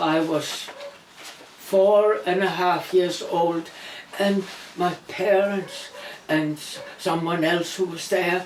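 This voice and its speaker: Against noticeable background noise and audible room echo, a woman with a Danish accent and a fairly low pitch speaks at a very slow pace with long, frequent pauses. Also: fairly even intonation. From Denmark. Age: 80s+. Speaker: interviewee recalling wartime childhood. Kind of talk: personal testimony.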